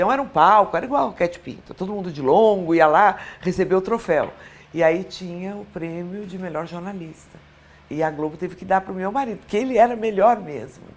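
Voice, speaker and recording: Her loudness swings widely as a woman with a normal speaking voice at a medium pitch talks at a fairly quick pace with ordinary pitch variation. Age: 60s. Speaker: former TV presenter and journalist. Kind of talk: interview.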